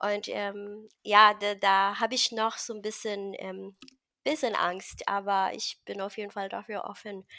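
A woman speaks very slowly at a medium pitch in a bright, sharp tone with monotone, flat intonation. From Philippines, rural village. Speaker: carnivore diet success story guest. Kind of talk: personal testimony interview. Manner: halting, many fillers.

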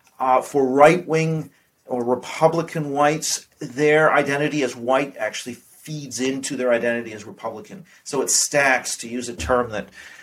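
A man talks at a moderate pace in a plain, everyday voice with ordinary pitch variation. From Canada (Vancouver), partly raised abroad. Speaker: politics professor. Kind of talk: interview.

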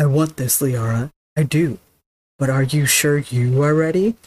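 A put-on character voice sits at a low-to-middle pitch and moves at a moderate pace. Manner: caring but overbearing, put-on voice.

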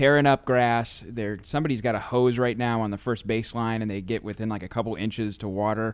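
Over a silent background on a very clean recording, a man of medium pitch talks at a very fast pace with hardly any pauses. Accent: Midwestern American. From St. Louis, Missouri, US Midwest. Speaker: podcast host for a baseball team. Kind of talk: interview. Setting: stadium studio.

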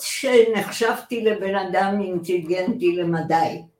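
A woman speaks at a very slow pace, her pitch medium. Room echo is audible around her voice. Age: 80s+. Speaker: retired journalist and lawyer. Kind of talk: interview, personal story. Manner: animated, laughs often.

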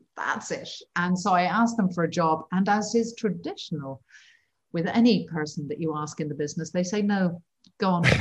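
This woman talks at a fairly quick pace in an English accent. Her voice is somewhat breathy. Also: fairly low pitch for a woman, ordinary pitch variation. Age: 50s. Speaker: wildlife cinematographer. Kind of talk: interview.

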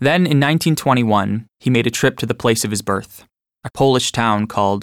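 With vocal fry and ordinary pitch variation, a man speaks at a medium pitch. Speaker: audiobook narrator. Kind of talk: reading aloud.

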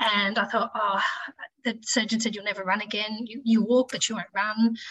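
A woman speaks with an Australian accent. Her fairly high-pitched voice keeps a monotone, flat intonation. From Tasmania, Australia (Launceston). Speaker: ICU nurse and amateur runner. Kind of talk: casual interview chat.

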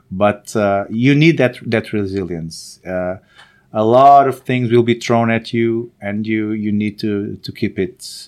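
Over a quiet background, a man with a Portuguese accent speaks very slowly at a fairly low pitch, with ordinary pitch variation. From Portugal, born in Angola. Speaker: startup founder and CEO. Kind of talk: interview. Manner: halting, many fillers and repetitions.

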